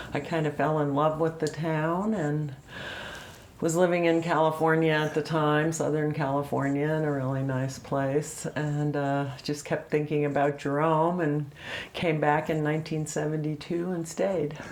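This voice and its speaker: A woman with an American accent, very deep and low in pitch, at a moderate pace with monotone, flat intonation and audible room echo. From US Midwest, Illinois. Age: 70s. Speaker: interviewee, longtime town resident. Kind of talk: oral history interview. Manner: hesitant, many fillers.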